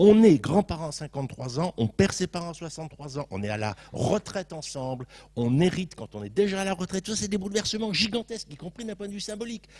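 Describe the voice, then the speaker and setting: Fairly quick speech comes from a man. His pitch rises and falls very widely. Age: 60s. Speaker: sociologist panelist at round table. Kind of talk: panel debate.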